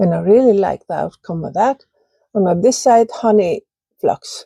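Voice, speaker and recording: A woman speaks with an Icelandic accent. The sound is dry and close, with no echo. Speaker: ceramic artist. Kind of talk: casual video talk, kiln reveal. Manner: halting.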